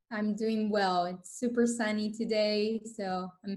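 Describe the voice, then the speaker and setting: This woman talks at a fairly slow pace in a fairly high, somewhat breathy voice. Her intonation stays flat and monotone. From northern Italy, Vicenza near Venice. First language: Italian. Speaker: sales associate. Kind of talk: interview.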